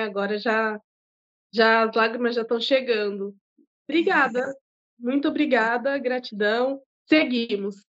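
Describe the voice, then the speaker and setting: High pitch from a woman at a fairly slow pace, with ordinary pitch variation. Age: 30s. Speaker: bar owner and cook. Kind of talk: casual interview.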